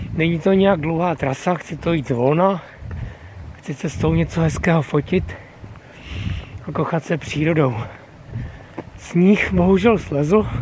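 Speech at a fairly slow pace with long, frequent pauses and ordinary pitch variation comes through a dry sound with no echo and light background noise. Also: man. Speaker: hiking vlogger. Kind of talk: casual vlog chat. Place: street. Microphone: phone near.

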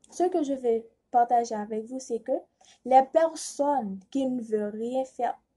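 A woman talks at a fairly slow pace with a fairly high pitch and a dark, mellow tone. The background is quiet. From Haiti. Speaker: student contestant. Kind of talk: prepared speech for a reading contest. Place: home room. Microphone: phone near.

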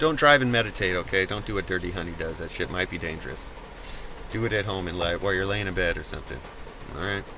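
A man with a very deep, low pitch speaks at a very fast pace, with a dry sound with no echo and noticeable background noise. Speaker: vlogger. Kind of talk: casual vlog chat. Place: car. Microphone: phone near.

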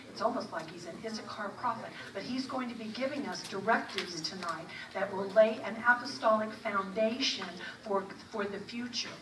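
A woman at a moderate pace, with ordinary pitch variation, big swings in loudness and noticeable background noise. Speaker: event host introducing speaker. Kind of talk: speaker introduction. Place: church.

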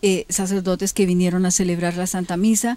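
In a dark, mellow tone, a woman talks at a fairly quick pace, with a dry sound and no echo. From Colombia. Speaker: local politician. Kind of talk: TV interview. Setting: her home. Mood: earnest, defending her innocence. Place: garden.

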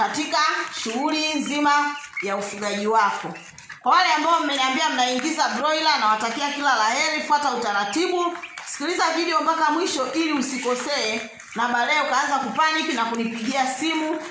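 Over noticeable background noise and audible room echo, a woman uses a raised, projected voice at a moderate pace. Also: ordinary pitch variation. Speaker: poultry farmer vlogger. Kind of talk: casual vlog chat. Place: farm machine. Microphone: phone near.

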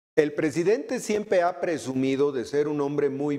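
A man speaks at a fairly slow pace with a dark, mellow tone and ordinary pitch variation over a quiet background. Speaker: news commentator. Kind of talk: commentary. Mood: critical, ironic. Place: studio. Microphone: lapel.

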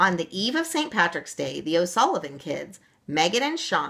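This is reading aloud in a natural voice. It is a single reader.

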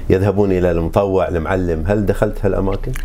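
This man's voice is fairly low with ordinary pitch variation. Light background noise sits behind him. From Bahrain. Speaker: interviewer host of a local memory show. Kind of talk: casual interview. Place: office.

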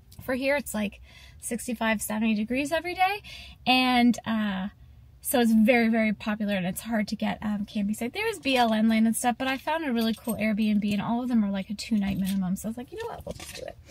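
Somewhat breathy, a woman talks at a fairly quick pace with ordinary pitch variation in a dry sound with no echo. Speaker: travel vlogger. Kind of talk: casual vlog chat. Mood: excited, chatty. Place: car.

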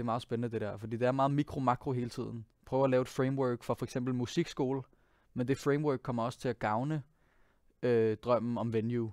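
A man speaks at a fairly quick pace in a medium pitch, his intonation monotone and flat. The sound is dry with no echo, over a quiet background. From Denmark, Copenhagen. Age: 20s. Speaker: singer and pianist; guest. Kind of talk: interview monologue. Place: studio. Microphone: headset.

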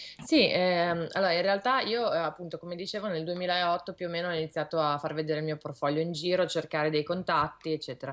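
The speech runs with hardly any pauses and fairly even intonation against a quiet background. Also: woman, fairly low pitch for a woman. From Milan, northern Italy. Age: young. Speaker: illustrator; guest. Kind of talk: interview. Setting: video call from her studio. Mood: calm, thoughtful. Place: home room. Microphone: video call.

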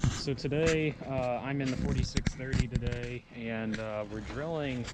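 The speech comes at a very slow pace, and the sound is dry with no echo. Loud noise fills the background. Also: man. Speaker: farmer vlogger. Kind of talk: casual vlog chat. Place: farm machine. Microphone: phone near.

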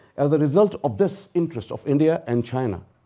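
A man speaks at a moderate pace with a dark, mellow tone. The background is quiet. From Pakistan. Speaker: professor of English literature. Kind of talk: public lecture. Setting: lecture hall with audience. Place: hall. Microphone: lapel.

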